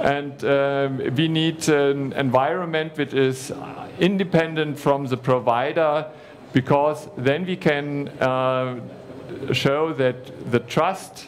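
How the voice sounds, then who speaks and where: With noticeable background noise and audible room echo, a fairly high-pitched man talks very slowly in a fairly even intonation. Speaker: conference speaker on cloud services. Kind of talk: conference presentation. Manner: halting, many fillers.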